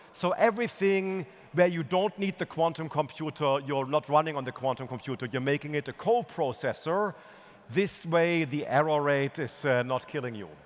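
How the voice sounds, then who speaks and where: Talking at a moderate pace in a normal speaking voice, a man keeps a fairly high pitch with ordinary variation. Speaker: physicist giving keynote. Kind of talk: conference keynote.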